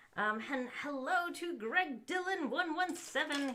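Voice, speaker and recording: A woman's raised, projected voice at a fairly slow pace. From US South. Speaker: LEGO streamer. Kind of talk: live stream chat. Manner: hesitant, many fillers.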